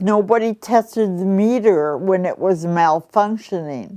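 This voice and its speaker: A woman's dark, mellow voice with lively intonation and an Upper Midwest accent. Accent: Upper Midwest American. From Milwaukee, Wisconsin. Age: 70s. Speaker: retired federal government worker. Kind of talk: appeal to camera for donations.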